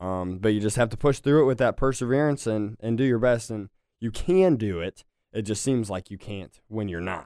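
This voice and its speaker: The recording is very clean, with a silent background. A man speaks at medium pitch in a dark, mellow tone with ordinary pitch variation. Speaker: martial arts instructor. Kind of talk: casual chat. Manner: fast.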